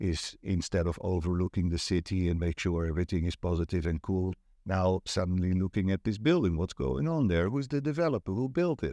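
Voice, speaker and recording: Against a quiet background, a man with a Dutch accent and a very deep, low pitch speaks at a fairly quick pace with hardly any pauses, lively intonation and a dark, mellow tone, in a dry, close sound with no echo. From Netherlands. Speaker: property agent and networking event organizer. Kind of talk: casual interview chat.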